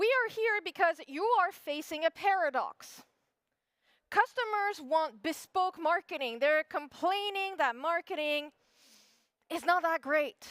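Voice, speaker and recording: In a French accent, a woman speaks at an extremely high pitch and a fairly slow pace, with an animated tone and lively intonation, in a dry, close sound with no echo. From France. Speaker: SEO expert, conference speaker. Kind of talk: conference talk. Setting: stage with audience.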